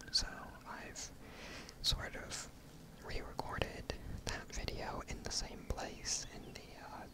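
Very slowly, a man is whispering over noticeable background noise. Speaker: ASMR gaming content creator. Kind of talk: casual talk to camera.

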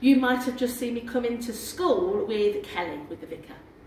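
A woman talks at a moderate pace amid light background noise and audible room echo. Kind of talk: tour guide talk to children. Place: church. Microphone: camera far.

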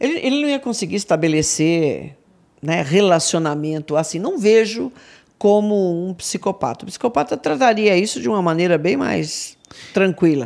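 Against a quiet background, a woman with a fairly low pitch speaks at a moderate pace, her pitch swinging very widely. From Brazil, São Paulo. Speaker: crime analyst. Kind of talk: casual chat. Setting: studio. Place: studio. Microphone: studio mic.

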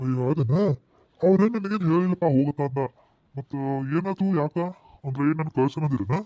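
Cartoonish character voice from a man, fairly high in pitch, moderate in pace, with dry, close sound and no echo. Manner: blunt, familiar.

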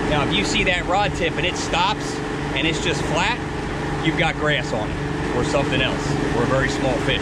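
Loud background noise runs beneath speech delivered at a moderate pace. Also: man. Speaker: fishing guide. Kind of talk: tutorial. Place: boat. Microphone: camera far.

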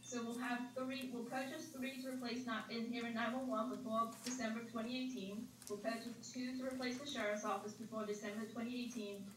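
Light background noise and audible room echo surround a woman speaking at a moderate pace in a flat, monotone way with hardly any pauses. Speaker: presenter. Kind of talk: briefing answer to board questions. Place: hall.

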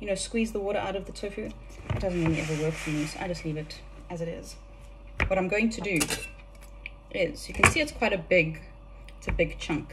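A woman speaks at a fairly quick pace over noticeable background noise. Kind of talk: casual cooking tutorial. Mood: relaxed, playful. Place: kitchen. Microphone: phone near.

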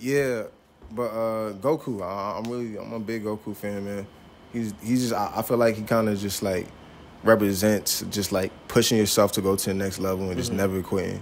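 A man talks at a fairly quick pace with an American accent, his pitch fairly low and his intonation fairly even. Light background noise can be heard. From New York (Queens, Long Island), later Atlanta; New York. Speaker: rapper; interviewee. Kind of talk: casual interview. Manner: halting, many fillers. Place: shop. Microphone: handheld.

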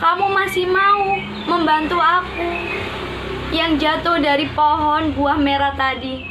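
A raised, projected voice comes at a very slow pace with very even loudness and ordinary pitch variation. Noticeable background noise sits behind it. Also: woman. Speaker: storyteller. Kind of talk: storytelling with puppets. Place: home room. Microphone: phone near.

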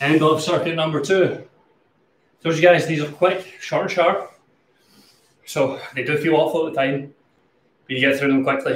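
A man at a moderate pace, with long, frequent pauses and audible room echo. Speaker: online fitness instructor. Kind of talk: live-stream workout coaching. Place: garage. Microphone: webcam.

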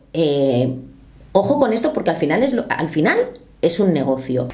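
In a dark, mellow tone, a woman talks at a low pitch with big pitch swings. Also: moderate pace.

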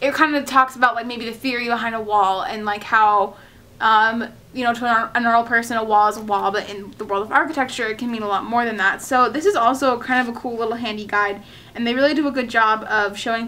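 A woman talks at a very fast pace in a bright, sharp tone. Her intonation stays fairly even. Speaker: architecture student vlogger. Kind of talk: casual vlog chat. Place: home room. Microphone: camera far.

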